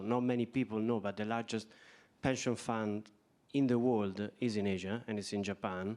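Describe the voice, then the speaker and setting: A man speaks with an Italian accent at a fairly low pitch. His intonation is monotone and flat. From Italy. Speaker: bank executive. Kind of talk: panel discussion.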